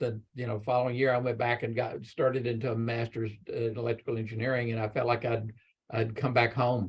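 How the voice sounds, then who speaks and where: In a Texan accent, a man talks at a medium pitch. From Texas, Galveston Bay area. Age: 70s. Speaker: electrical engineer. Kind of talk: panel talk to students.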